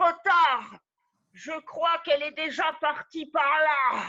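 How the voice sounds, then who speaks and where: A woman's put-on character voice at an extremely high pitch and a very slow pace. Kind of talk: improvised scene.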